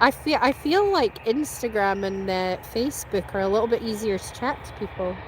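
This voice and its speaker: Noticeable background noise sits behind a woman with a slight Scottish accent who talks at a moderate pace with hardly any pauses, a fairly high pitch and ordinary pitch variation. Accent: Scottish, mild. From Scotland. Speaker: plane spotter live streamer. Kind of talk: live stream chat. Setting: outdoors at airport.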